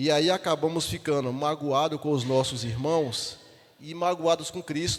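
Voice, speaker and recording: His speech is very slow. This man's pitch shows ordinary variation. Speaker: deacon leading Bible study. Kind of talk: Bible study teaching. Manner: halting, repeats syllables.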